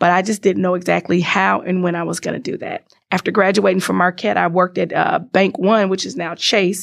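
A woman's very fast speech with an American accent against a quiet background. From Chicago, US Midwest. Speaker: IT business relationship manager and entrepreneur. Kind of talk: interview.

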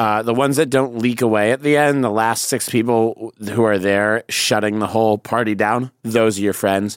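A man with an American accent and a normal speaking voice talks at a moderate pace and medium pitch, with fairly even intonation and very even loudness. There are hardly any pauses, and the sound is dry and close with no echo. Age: 30s. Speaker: comedian. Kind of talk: casual chat.

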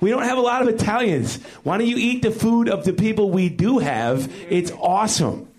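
A speaker with an American accent talks at a moderate pace, with lively intonation and hardly any pauses. Noticeable background noise and audible room echo surround the voice. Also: man, high pitch for a man. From Chicago. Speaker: stand-up comedian. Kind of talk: stand-up. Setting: stage with audience.

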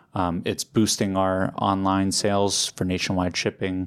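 With an American accent, a man speaks in a normal speaking voice at a fairly low pitch and moderate pace, on a very clean recording with a silent background. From New York City. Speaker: deli owner. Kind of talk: casual interview chat.

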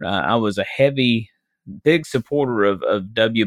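A man's medium-pitched voice shows ordinary pitch variation. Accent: Southern US. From Arkansas, US South. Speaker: minister and former political candidate. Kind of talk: casual interview conversation.

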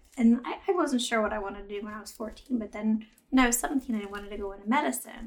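A woman speaks very fast in a fairly high pitch, with ordinary pitch variation. Her voice is somewhat breathy, with big swings in loudness. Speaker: chiropractor and acupuncturist. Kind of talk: casual interview chat.

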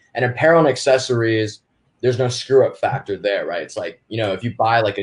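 A man at medium pitch talks at a fairly quick pace. His voice is somewhat breathy, with ordinary pitch variation. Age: 20s. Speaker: e-commerce entrepreneur. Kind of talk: casual interview.

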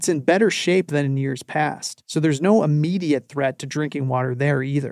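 A man with a normal speaking voice talks fairly quickly at a fairly high pitch with ordinary pitch variation, the sound dry and close with no echo. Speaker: radio reporter. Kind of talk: interview.

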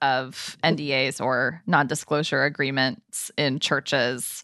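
Recorded with a dry, close sound, no echo and a quiet background, a woman speaks. Her tone is animated. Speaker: podcast co-host. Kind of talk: casual chat and interview. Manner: animated, laughs often.

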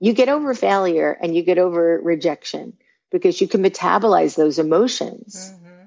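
A woman with a New York accent talks at a moderate pace in a fairly low pitch. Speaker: branding consultant. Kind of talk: interview.

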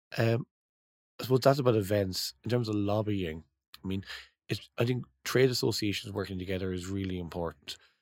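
Someone with an Irish accent talks at a fairly quick pace with ordinary pitch variation in a very clean recording with a silent background. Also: man, fairly low pitch for a man. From Ireland. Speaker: trade association executive. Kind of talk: interview.

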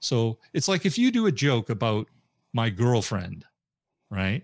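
Medium-pitched man on a very clean recording with a silent background, the sound dry and close with no echo. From Canada. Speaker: comedian.

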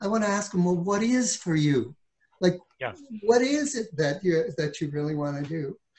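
The man's voice is an unremarkable speaking voice. He keeps a moderate pace with lively intonation. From Ontario, Canada. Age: 60s. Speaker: real estate broker and author. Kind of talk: casual interview.

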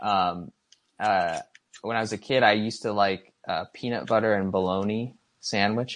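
A man with a Midwestern American accent, fairly low in pitch, at a moderate pace with fairly even intonation. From Michigan. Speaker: app design and illustration coordinator. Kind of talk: casual interview. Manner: halting, many fillers.

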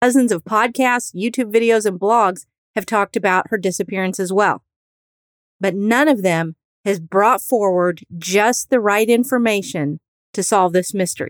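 An ordinary speaking voice with an American accent moves at a moderate pace with ordinary pitch variation, recorded dry and close with no echo. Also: woman, medium pitch for a woman. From US Midwest. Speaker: true crime podcast host and private investigator. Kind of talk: true-crime narration, scripted. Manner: steady, serious, storytelling; earnest, faith-minded.

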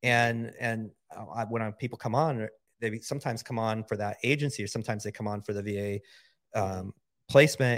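The recording is very clean, with a silent background. A plain, everyday voice talks at a fairly quick pace. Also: man. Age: 50s. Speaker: entrepreneur. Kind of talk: casual chat.

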